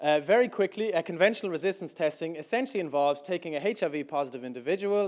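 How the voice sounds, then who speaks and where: A man's fairly high voice with an Irish accent, very fast and lively in intonation. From Ireland. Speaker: startup founder. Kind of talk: pitch talk. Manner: hesitant, many fillers.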